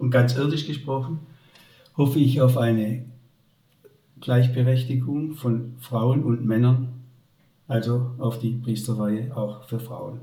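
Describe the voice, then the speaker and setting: Amid audible room echo, a man with a dark, mellow, somewhat breathy tone speaks very slowly in a monotone, flat intonation, with long, frequent pauses. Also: medium pitch for a man. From Upper Swabia, southern Germany. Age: 70s. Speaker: retired teacher and headmaster. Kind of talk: faith testimony interview.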